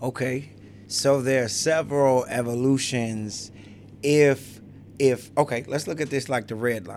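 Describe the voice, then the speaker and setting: A normal speaking voice with an American accent moves at a fairly slow pace with fairly even intonation. Its loudness swings a lot. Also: man, medium pitch for a man. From Chicago. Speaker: hip hop artist and youth mentor. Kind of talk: casual interview. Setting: studio.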